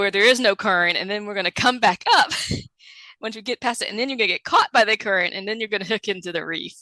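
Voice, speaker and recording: Speaking at a very fast pace, a woman keeps a medium pitch and fairly even intonation in a dry, close sound with no echo. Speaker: scuba diver. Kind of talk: podcast interview answer.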